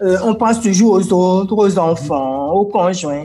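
This woman's pitch rises and falls very widely while noticeable background noise runs underneath. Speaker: motivational coach. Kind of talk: interview. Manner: energetic.

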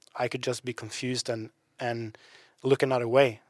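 Dry and close with no echo, a man's voice keeps a monotone, flat intonation at a moderate pace. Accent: Norwegian. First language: Norwegian. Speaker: podcast co-host. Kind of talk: casual chat.

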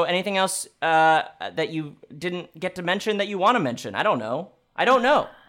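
This is a man with an American accent. His pitch is high. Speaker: podcast host. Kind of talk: comedic interview chat. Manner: joking, rambling, comedic.

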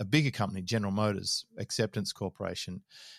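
A man with an Australian accent talks at a fairly quick pace in a fairly low pitch. The recording is very clean, with a silent background and a dry, close sound with no echo. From Australia (Sydney). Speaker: business mentor. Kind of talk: interview conversation.

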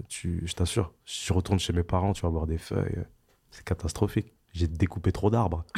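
A man talks at a moderate pace in a very deep, low voice that is dark, mellow and somewhat breathy, with fairly even intonation. His loudness swings widely, and the recording is very clean with a silent background. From France, Val-d'Oise (Paris suburbs), Antillean family. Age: 30s. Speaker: rapper. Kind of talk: interview. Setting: studio.

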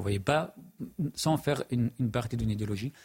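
Male voice of medium pitch, somewhat breathy, with lively intonation at a moderate pace. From Middle East. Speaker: journalist and writer. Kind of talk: televised panel debate.

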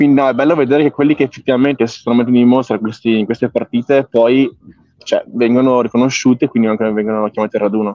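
The man speaks at a very fast pace. His pitch is medium and his intonation fairly even. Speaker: podcast co-host. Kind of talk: casual chat. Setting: airport.

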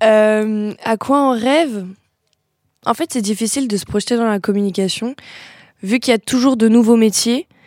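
A woman with a fairly high pitch speaks at a moderate pace, using ordinary pitch variation. Long, frequent pauses break up her speech, and the sound is dry and close with no echo. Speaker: communication student. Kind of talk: scripted interview introduction; interview.

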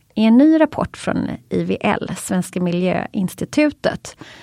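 Recorded dry and close with no echo, a woman with a Swedish accent speaks very slowly at a medium pitch in a dark, mellow tone. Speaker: podcast co-host. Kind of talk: scripted intro.

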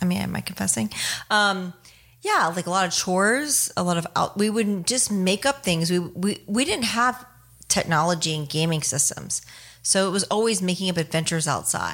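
A woman with a normal speaking voice and an American accent talks at a moderate pace and medium pitch, her intonation lively. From Ohio, US Midwest. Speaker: army veteran and comedian. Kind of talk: casual interview. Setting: studio.

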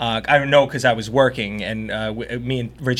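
Noticeable background noise runs through the clip. The voice is in an American accent. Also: man. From Long Island, New York (South Shore). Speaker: TV meteorologist. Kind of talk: casual chat.

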